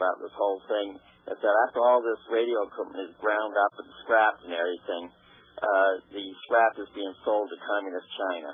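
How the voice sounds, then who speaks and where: An unremarkable speaking voice from a man, fairly low in pitch, with ordinary pitch variation and a moderate pace. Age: 60s. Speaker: caller. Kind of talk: casual chat. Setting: phone call.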